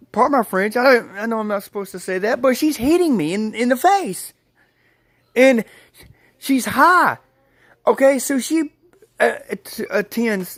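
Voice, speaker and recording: The speaker sounds animated, with lively intonation and long, frequent pauses. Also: man, extremely high pitch for a man, moderate pace. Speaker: vlogger telling personal stories. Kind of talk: casual storytelling. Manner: halting, repeated words and fillers.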